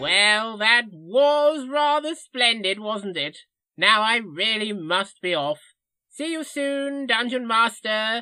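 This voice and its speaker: Using a put-on character voice, a man speaks very slowly at a high pitch. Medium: audio drama. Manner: rambling, avuncular.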